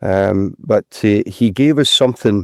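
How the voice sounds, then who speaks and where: In a very clean recording with a silent background and a dry, close sound free of echo, a man speaks at a fairly low pitch with a dark, mellow tone. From Scotland, North Lanarkshire mining village. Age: 60s. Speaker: retired footballer. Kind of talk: casual interview. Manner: halting, repeats words.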